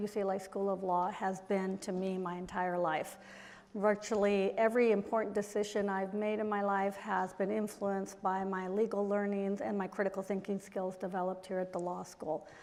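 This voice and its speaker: With a Spanish accent, a woman speaks at a fairly quick pace with hardly any pauses. Her pitch is medium and her intonation fairly even. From Mexico. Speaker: diplomat and businesswoman. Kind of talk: panel talk. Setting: stage with audience.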